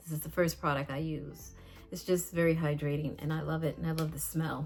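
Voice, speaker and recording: Over music in the background, a woman with a very deep, low pitch talks at a fairly quick pace in a monotone, flat intonation. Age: 60s. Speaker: beauty vlogger. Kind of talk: casual vlog tutorial. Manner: halting, many fillers.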